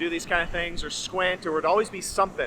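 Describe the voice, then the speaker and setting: Against noticeable background noise, a man with a high pitch speaks in a raised, projected voice. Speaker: vlogger. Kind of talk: casual vlog talk to camera. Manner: fast.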